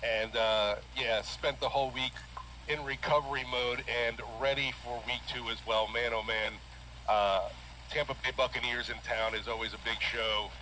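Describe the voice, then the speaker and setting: Noticeable noise hums in the background. Over it, a man keeps a moderate speed. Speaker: sports radio host, sideline reporter. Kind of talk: casual sports radio talk.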